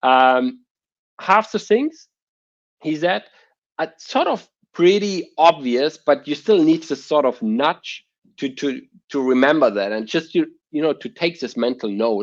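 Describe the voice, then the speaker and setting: Speaking at a fairly slow pace with a German accent, the voice has lively intonation and long, frequent pauses against a quiet background. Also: man, fairly high pitch for a man. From Germany. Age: 30s. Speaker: entrepreneur. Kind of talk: interview. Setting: podcast.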